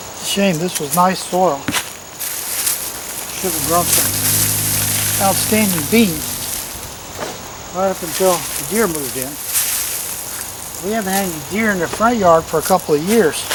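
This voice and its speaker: A man with a Southern US accent and a high pitch, at a fairly slow pace with long, frequent pauses and ordinary pitch variation, amid noticeable background noise and audible room echo. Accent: Southern US (Georgia). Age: 70s. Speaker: gardening youtuber. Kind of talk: casual gardening tutorial. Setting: outdoors in a garden. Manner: casual, folksy.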